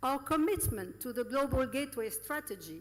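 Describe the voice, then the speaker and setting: Speaking high in her range, a woman lets her pitch leap across very wide swings. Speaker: EU representative. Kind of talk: formal speech. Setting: conference with audience. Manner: formal.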